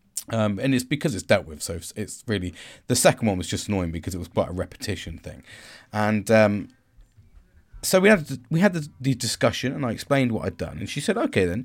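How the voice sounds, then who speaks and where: A man with a British accent, talking at a very fast pace with very wide pitch swings. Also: medium pitch for a man, very clean recording, silent background. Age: 40s. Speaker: podcaster. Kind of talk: solo monologue on self-care and reflection. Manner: commanding; casual, rambling, with filler words.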